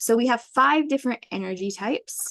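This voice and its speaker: Recorded with a dry, close sound and no echo, a woman is talking. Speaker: human design mentor and educator. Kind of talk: webinar presentation. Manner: fast.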